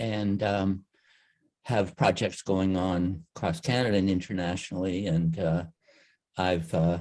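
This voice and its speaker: Very deep and low in pitch, a man talks at a fairly slow pace with long, frequent pauses, very even loudness and fairly even intonation. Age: 70s. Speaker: media artist. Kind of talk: workshop introduction. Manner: halting.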